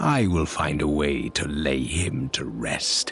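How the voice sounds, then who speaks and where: Growling in a put-on character voice, a man speaks fairly slowly with a very deep, low pitch over clear background noise. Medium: video game. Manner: cold, terse.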